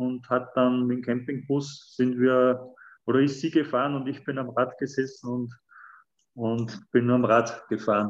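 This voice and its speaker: A man at medium pitch, very slow, with fairly even intonation against a quiet background. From Lower Austria. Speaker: firefighter and triathlete. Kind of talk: interview. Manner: halting, with many fillers.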